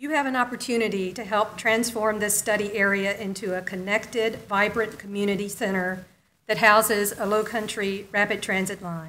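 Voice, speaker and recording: A woman speaks at a moderate pace in a medium pitch, her bright, sharp tone carried on fairly even intonation. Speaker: conservation nonprofit director. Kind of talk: public meeting speech. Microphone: echo in room, stepped away from mic.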